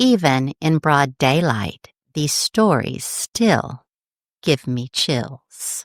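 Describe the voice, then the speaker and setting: A woman with lively intonation and an American accent, in a very clean recording with a silent background and a dry, close sound with no echo. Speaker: podcast host. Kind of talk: podcast ghost story narration.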